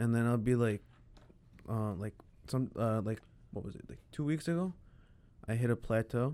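A man's dark, mellow, medium-pitched voice in an American accent, at a moderate pace with ordinary pitch variation and long, frequent pauses. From Chicago. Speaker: designer. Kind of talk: casual chat.

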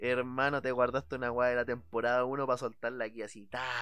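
In a Chilean accent, a man speaks fairly quickly at a medium pitch, his tone animated. The background is quiet. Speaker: podcast host. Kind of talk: casual chat.

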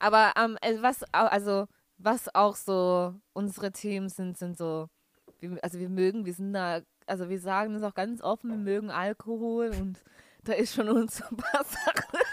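A woman with a plain, everyday voice talks at a fairly slow pace, with medium pitch and ordinary pitch variation. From Bavaria, near Nuremberg (Franconia). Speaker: podcast co-host, musical theatre student. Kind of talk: casual chat. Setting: Skype call.

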